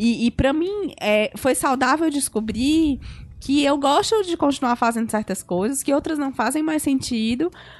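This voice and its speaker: Woman's lively intonation against a quiet background. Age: 30s. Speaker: journalist and master's student. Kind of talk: casual chat.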